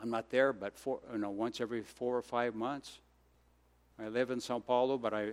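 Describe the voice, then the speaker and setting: A man talks in an American accent. His voice sits at medium pitch with fairly even intonation. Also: very clean recording, silent background. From Brazil, raised by American missionary parents. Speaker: missionary. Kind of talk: sermon. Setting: church.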